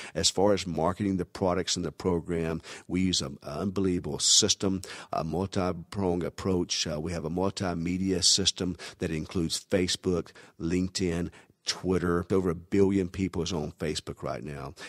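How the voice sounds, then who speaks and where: A man with a Southern US accent speaks at a moderate pace in a very deep, low voice with fairly even intonation. The sound is dry and close with no echo, on a very clean recording with a silent background. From US South. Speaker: network marketing recruiter. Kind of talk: sales pitch.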